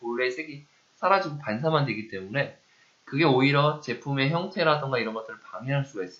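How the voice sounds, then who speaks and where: This man talks at a fairly quick pace in an unremarkable speaking voice. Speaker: university lecturer. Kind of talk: lecture. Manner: conversational, asks rhetorical questions.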